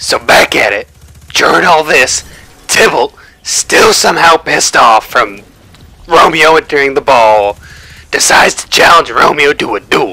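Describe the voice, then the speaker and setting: A man puts on a raspy character voice, pitched fairly high. He moves at a moderate pace with long, frequent pauses. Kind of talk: casual, slangy. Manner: mocking, comedic retelling.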